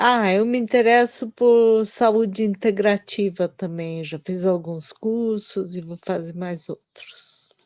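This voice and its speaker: Her delivery is very slow. The audio is very clean and the background is silent. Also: medium pitch for a woman, ordinary pitch variation, hardly any pauses, big swings in loudness, dry, close sound with no echo. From São Paulo state, Brazil. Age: 60s. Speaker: translator. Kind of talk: self-introduction.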